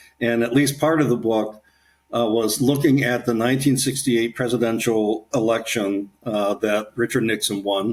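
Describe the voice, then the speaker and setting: A man talks at a moderate pace in an ordinary speaking voice, medium in pitch with fairly even intonation. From Ohio, Kettering near Dayton. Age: 60s. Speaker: author and leadership coach. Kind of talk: casual interview.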